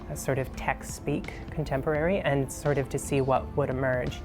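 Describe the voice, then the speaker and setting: A woman's very deep, low-pitched voice, with music in the background. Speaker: poet. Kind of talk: interview answer.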